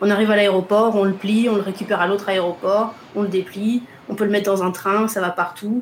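Speaking at a fairly quick pace with a medium pitch, a woman keeps a monotone, flat intonation and very even loudness over noticeable background noise. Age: 30s. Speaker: travel blogger and photographer. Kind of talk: interview testimony.

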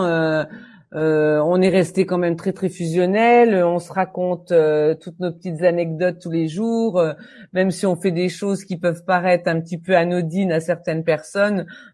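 Her tone dark and mellow, a woman speaks at a fairly low pitch and a fairly slow pace with fairly even intonation against a quiet background. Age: 60s. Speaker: English teacher. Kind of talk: interview.

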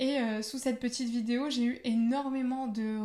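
A woman's high-pitched voice. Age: 20s. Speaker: podcast host. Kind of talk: solo podcast introduction.

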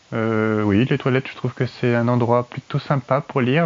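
An unremarkable speaking voice: a man at medium pitch with fairly even intonation. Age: 30s. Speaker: listener contributor. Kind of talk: personal anecdote.

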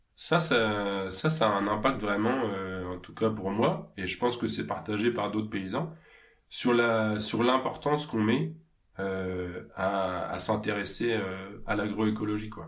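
A man with fairly low pitch and ordinary pitch variation, at a very slow pace, with audible room echo. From Normandy (Pays de Caux), France. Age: 30s. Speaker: farmer and agricultural trainer. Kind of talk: interview. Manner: hesitant, many fillers.

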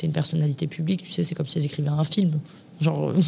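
A woman speaks with a very deep, low pitch. Her pace is very fast. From Paris. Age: 20s. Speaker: influencer and former reality TV contestant. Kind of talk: casual interview.

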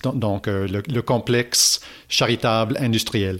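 In a very clean recording with a silent background, a man with an English accent speaks at a fairly low pitch with fairly even intonation. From Toronto, Canada. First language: English (speaking French). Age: 30s. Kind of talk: interview. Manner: halting, many repetitions.

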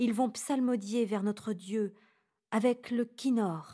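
A woman speaks very slowly and calmly, her fairly high voice dark, mellow and somewhat breathy with ordinary pitch variation. The recording is very clean, with a silent background. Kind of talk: guided meditation and prayer. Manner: calm, slow, reverent.

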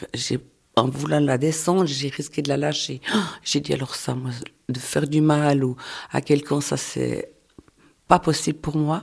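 Delivered at a fairly slow pace with long, frequent pauses, the voice has vocal fry and fairly even intonation. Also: woman, very deep, low pitch for a woman. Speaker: person living with multiple sclerosis. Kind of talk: testimony.

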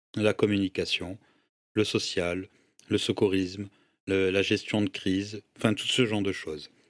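A man at a fairly low pitch, fairly slow pace and monotone, flat intonation, with long, frequent pauses on a very clean recording with a silent background. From Senegal (Dakar), moved to France at 14. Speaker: entrepreneur and social media influencer. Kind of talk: casual interview chat.

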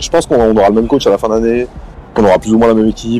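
Talking at a very fast pace, a man has a medium pitch. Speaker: basketball podcaster. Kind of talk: casual chat.

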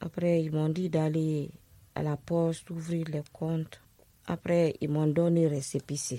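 This woman's voice sits very deep and low, with a dark, mellow tone. She talks at a very slow pace with monotone, flat intonation. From Guinea, Conakry. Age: 40s. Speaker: survivor of domestic violence, asylum seeker. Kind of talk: personal testimony.

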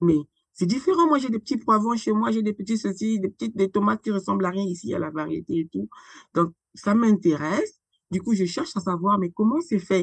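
The voice is somewhat breathy, with lively intonation and long, frequent pauses. The background is quiet, and the sound is dry and close with no echo. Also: woman. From Republic of the Congo (Brazzaville). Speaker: founder and president of an agroecology association. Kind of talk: interview conversation.

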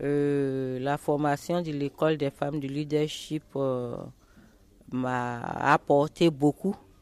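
Very deep and low, a woman's voice moves at a very slow pace with fairly even intonation. The sound is dry and close with no echo, over noticeable background noise. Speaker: cocoa farmer. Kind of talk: radio interview.

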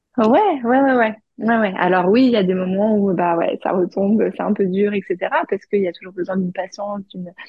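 Somewhat breathy and medium-pitched, a woman speaks at a moderate pace with ordinary pitch variation. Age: 30s. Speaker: HR manager and mother. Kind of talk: testimony. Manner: halting.

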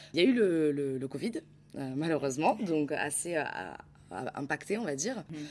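Her voice is very deep and low for a woman. She talks at a moderate pace with lively intonation. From Nice, southern France. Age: 20s. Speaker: social media manager. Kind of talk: interview. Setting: media office. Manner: halting, many fillers and repetitions.

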